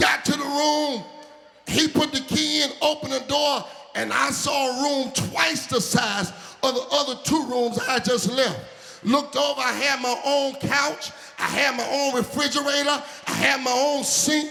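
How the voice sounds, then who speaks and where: With an American accent, a man raises and projects an extremely high-pitched voice over noticeable background noise. He talks at a fairly slow pace with fairly even intonation. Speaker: preacher. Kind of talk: sermon with humorous story, call-and-response.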